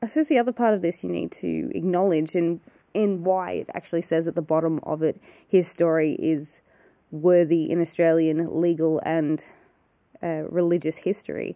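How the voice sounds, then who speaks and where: At a moderate pace over a quiet background, the voice has a dark, mellow tone and fairly even intonation. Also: woman, fairly low pitch for a woman. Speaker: cemetery walkthrough vlogger. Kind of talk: casual history commentary. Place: open country. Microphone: phone near.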